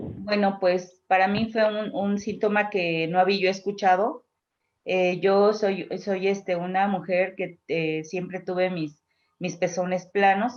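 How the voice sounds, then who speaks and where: A woman speaks very slowly at a medium pitch. Her intonation stays fairly even. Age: 60s. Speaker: cancer patient. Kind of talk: testimony. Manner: halting.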